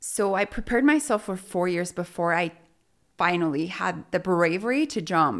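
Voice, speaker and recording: With a Spanish accent, a woman speaks at a moderate pace and a medium pitch, her intonation lively, on a very clean recording with a silent background. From Mexico (Sonora), raised in Utah from age 11. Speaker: real estate business owner. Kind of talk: interview conversation.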